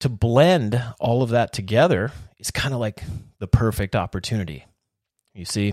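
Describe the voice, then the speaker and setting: The voice sounds energetic and enthusiastic, with ordinary pitch variation, recorded dry and close with no echo, very clean and with a silent background. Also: man. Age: 40s. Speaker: podcast host. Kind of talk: solo motivational monologue. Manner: energetic, enthusiastic.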